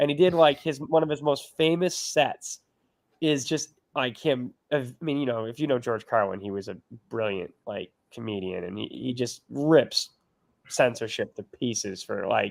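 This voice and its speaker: A man with an ordinary speaking voice talks at a moderate pace and medium pitch, showing lively intonation and big swings in loudness. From Boston, US. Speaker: podcast host. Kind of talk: casual livestream chat.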